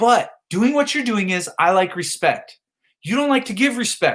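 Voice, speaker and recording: A man shouting, loud, at an extremely high pitch with lively intonation. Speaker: live streamer. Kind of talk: heated rant. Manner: loud, yelling; slow.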